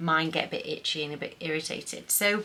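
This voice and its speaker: A woman speaks with a British accent over noticeable background noise. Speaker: lifestyle vlogger. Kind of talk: haul / gift guide vlog. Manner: casual, chatty; speaking quietly.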